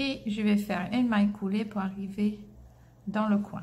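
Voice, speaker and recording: With a slight English accent, a woman speaks at a fairly high pitch in a somewhat breathy voice amid audible room echo. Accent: slight English-speaker accent in French. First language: English (speaking French). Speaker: crochet teacher. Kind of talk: tutorial. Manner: hesitant, many filler sounds.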